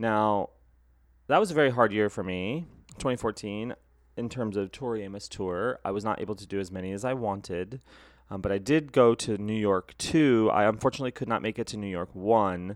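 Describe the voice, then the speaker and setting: A man talks at a fairly quick pace in a fairly low voice, with ordinary pitch variation and big swings in loudness. The background is quiet. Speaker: podcast host. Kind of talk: casual solo podcast monologue. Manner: fast; animated.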